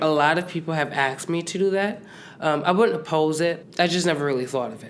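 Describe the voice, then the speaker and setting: A man talks very fast with an American accent. His loudness swings widely. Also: fairly high pitch for a man, ordinary pitch variation. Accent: East Coast accent, comes out at times. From Connecticut. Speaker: college gymnast. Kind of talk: casual chat. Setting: in person at a university.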